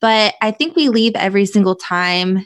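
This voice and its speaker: A plain, everyday voice, a woman speaks at medium pitch and moderate pace in a very clean recording with a silent background and a dry, close sound with no echo. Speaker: podcast host guest. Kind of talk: casual chat.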